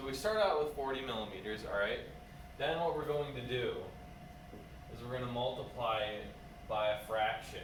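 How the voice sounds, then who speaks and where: A man talking at a moderate pace with ordinary pitch variation and long, frequent pauses, amid noticeable background noise and audible room echo. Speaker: physics teacher. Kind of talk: lecture. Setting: recorded video lesson with camera. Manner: calm, not very enthusiastic; laid-back.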